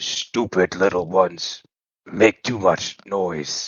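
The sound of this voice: In a put-on character voice, a man sounds raspy at a very deep, low pitch. He speaks at a very slow pace.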